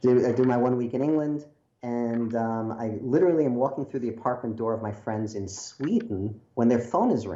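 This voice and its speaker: A man's medium-pitched voice with an American accent, ordinary pitch variation, and a fairly quick pace. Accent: Brooklyn accent, mostly suppressed, slips out. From New York, Brooklyn. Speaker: screenwriter. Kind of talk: interview storytelling. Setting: video call. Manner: animated.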